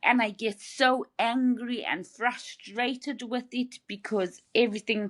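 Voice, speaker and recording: A woman with a slight Zimbabwean accent speaks at a high pitch and a fairly slow pace, with hardly any pauses. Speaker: brain injury survivor. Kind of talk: interview. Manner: halting, repeats words.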